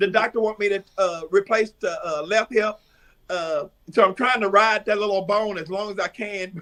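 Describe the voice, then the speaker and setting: A man with an East Texas accent speaks in a raised, projected voice at a high pitch, with a bright, sharp tone, fairly even intonation and a moderate pace. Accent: East Texas Southern US. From East Texas (Tyler area). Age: 60s. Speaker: drag performer. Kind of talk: interview. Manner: halting.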